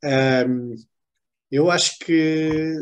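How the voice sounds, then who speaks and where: A man with a European Portuguese accent and fairly even intonation. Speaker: author. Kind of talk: book club talk.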